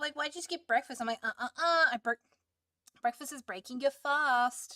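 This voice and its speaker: A woman's high-pitched, raised and projected voice, bright and sharp in tone, moves with lively intonation in a dry, close sound with no echo. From Australia. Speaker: streamer. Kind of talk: casual chat. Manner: loud.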